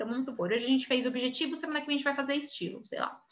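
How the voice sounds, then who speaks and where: A woman with a high pitch uses a raised, projected voice with a bright, sharp tone. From Brazil. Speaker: image consultant and course instructor. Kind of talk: online class lecture. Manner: fast.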